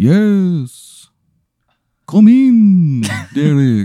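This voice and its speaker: The speaker uses a put-on character voice at a middle pitch. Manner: sinister, inviting.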